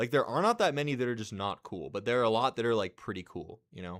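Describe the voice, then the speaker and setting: An American accent is heard. The recording is very clean, its background silent. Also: man. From California, US. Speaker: gaming streamer. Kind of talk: live stream commentary, ranking a tier list. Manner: loud; casual, repetitive.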